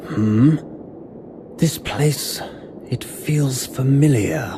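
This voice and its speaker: A put-on character voice at a low-to-middle pitch moves at a very slow pace over clear background noise. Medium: game stream. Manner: terse, brooding.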